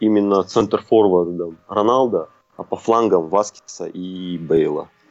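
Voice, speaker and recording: Fairly slow, fairly low-pitched speech from a man. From Kazakhstan, Almaty. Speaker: football fan. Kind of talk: casual chat. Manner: hesitant with fillers.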